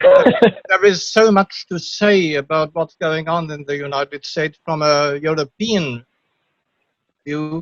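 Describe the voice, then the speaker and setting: With a German accent, a man talks very slowly at a fairly high pitch, his pitch varying in an ordinary way, and the sound is dry and close with no echo. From Germany. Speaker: audience member asking a question. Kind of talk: Q&A question on video call. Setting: video call. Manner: halting.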